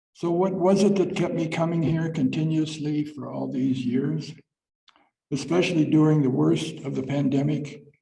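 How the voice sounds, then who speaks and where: With audible room echo, a man speaks at a moderate pace in a fairly high pitch and fairly even intonation. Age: 80s+. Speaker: church member giving a short talk. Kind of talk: reading aloud a personal talk at a church service. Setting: church service. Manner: halting, some repeated words.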